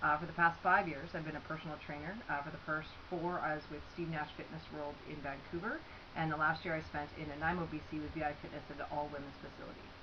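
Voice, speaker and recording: A woman with a very deep, low pitch and a Canadian accent, very fast and flatly monotone, amid noticeable background noise and audible room echo. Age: 30s. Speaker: scholarship applicant, former athlete. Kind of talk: personal video statement. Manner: casual, with many fillers.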